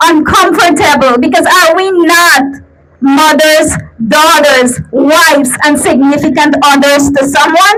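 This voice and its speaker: Noticeable background noise sits behind a woman speaking at a high pitch. Her loudness is very even and her pitch varies in an ordinary way. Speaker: rally speaker, domestic violence survivor. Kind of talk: rally speech. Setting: outdoor protest rally. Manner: earnest, passionate.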